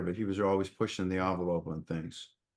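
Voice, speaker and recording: A man with a Boston accent talks at a very fast pace, fairly low in pitch. His intonation is fairly even, and the background is quiet. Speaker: podcast host. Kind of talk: casual interview chat.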